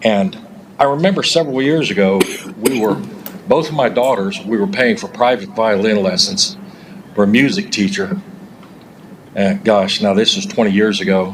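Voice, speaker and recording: Over noticeable background noise, a man at medium pitch speaks at a moderate pace with very wide pitch swings. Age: 60s. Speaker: public commenter at county meeting. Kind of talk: public comment speech. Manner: animated.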